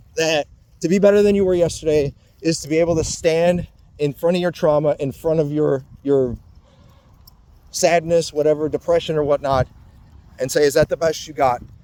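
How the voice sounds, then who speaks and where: A man's fairly high voice, dark and mellow in tone, with long, frequent pauses. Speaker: vlogger. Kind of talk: personal monologue. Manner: slow; halting.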